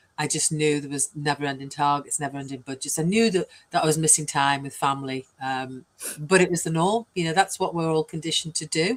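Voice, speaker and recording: A woman with a British accent talks at a very fast pace. Her pitch is very deep and low. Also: ordinary pitch variation. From UK. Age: 60s. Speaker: business coach. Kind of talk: interview.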